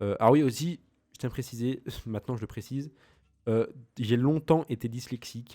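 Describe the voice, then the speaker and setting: At a moderate pace and with long, frequent pauses, a man speaks in a dark, mellow tone at medium pitch with fairly even intonation, on a very clean recording with a silent background. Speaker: gaming youtuber. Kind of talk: let's play commentary. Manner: halting.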